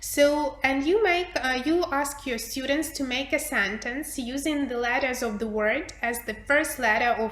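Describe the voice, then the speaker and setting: Against audible room echo and noticeable background noise, a woman speaks at a fairly slow pace with lively intonation. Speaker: English teacher trainer. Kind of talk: workshop presentation.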